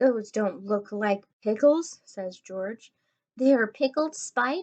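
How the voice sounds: The background stays quiet. What we hear is a natural reading voice.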